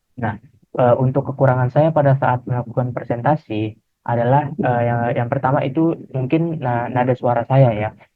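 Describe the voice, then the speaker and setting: Pitched at a medium level, a man speaks at a moderate pace with fairly even intonation. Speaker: university student. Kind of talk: class presentation. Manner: halting, many fillers.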